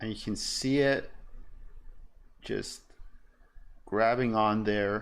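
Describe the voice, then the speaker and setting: With audible room echo, a man of fairly low pitch speaks very slowly in a monotone, flat way. Long, frequent pauses break up his speech. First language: German. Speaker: electronics streamer. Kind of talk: live tutorial stream while soldering. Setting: live stream at workbench. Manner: casual, hesitant with fillers.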